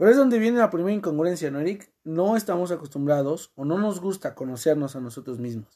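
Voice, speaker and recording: This man talks very fast with a Mexican accent, his voice high in pitch with a dark, mellow tone and lively intonation. The recording is very clean, with a silent background. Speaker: podcast host. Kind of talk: casual chat.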